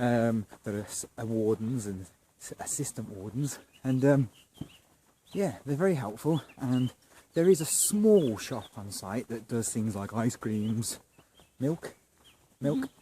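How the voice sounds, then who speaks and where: Speaking at a very slow pace with long, frequent pauses, a man with a southern English accent has a dark, mellow tone and lively intonation. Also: medium pitch for a man. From southern England. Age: 40s. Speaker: campsite vlogger. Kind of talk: casual video review tour. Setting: outdoors at campsite. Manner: halting, many fillers; whispering.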